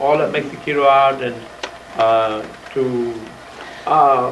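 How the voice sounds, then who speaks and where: This man speaks with an American accent at a fairly high pitch. Noticeable background noise and audible room echo come through. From South Texas, Port Isabel area. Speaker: retired judge. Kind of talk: oral history talk. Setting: museum presentation with audience. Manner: halting, many fillers.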